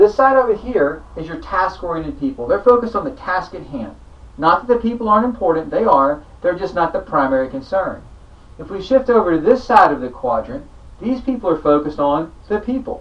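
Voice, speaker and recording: At a fairly quick pace, a high-pitched man speaks with very wide pitch swings and big swings in loudness. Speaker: sales trainer. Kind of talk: training talk. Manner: changes pace and lowers voice for effect.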